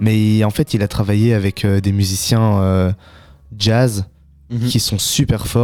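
A man speaks at a moderate pace in a fairly low pitch with a monotone, flat intonation and very even loudness, the sound dry and close with no echo and music playing in the background. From Belgium, Brussels. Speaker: young local musician and beatmaker. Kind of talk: casual radio interview. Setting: radio studio.

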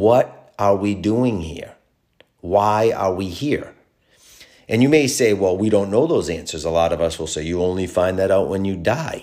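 On a very clean recording with a silent background, a man with an American accent speaks in a dark, mellow, fairly low voice at a moderate pace with ordinary pitch variation. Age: 40s. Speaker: podcast host. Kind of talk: solo monologue podcast.

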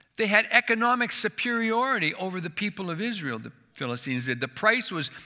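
Speaking at a fairly quick pace, a man uses a high-pitched, raised, projected voice with a bright, sharp tone. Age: 60s. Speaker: church association leader, former missionary. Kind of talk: sermon. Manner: halting.

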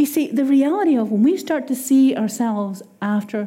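Lively intonation comes through with an Irish accent. Noticeable background noise is present. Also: woman. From Ireland. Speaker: preacher. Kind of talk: sermon. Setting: church.

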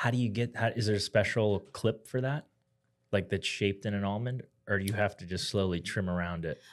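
Speaking at a fairly quick pace, a man uses a plain, everyday voice that is fairly low in pitch with ordinary pitch variation, on a very clean recording with a silent background. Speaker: podcast co-host, doctor. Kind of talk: casual chat.

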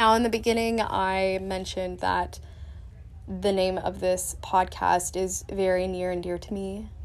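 The room echo is audible. A woman talks at a fairly slow pace. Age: 20s. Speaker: solo podcast host. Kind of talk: solo monologue podcast. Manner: casual, rambling with fillers.

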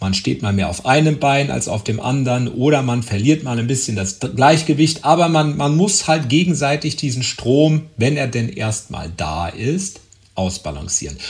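Somewhat breathy, a man talks at a medium pitch with lively intonation. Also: moderate pace, hardly any pauses. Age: 40s. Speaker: podcast host. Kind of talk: solo monologue. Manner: hesitant with fillers.

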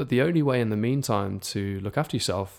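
In a very clean recording with a silent background, a man with a medium pitch and an unremarkable speaking voice talks at a fairly quick pace. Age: 20s. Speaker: podcast host. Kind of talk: solo podcast monologue. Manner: casual, with frequent repetitions and fillers.

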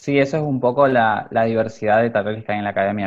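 A man speaks at a moderate pace and a medium pitch. He has a plain, everyday voice and fairly even intonation. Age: 20s. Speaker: fashion designer and youth academy director. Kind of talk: interview.

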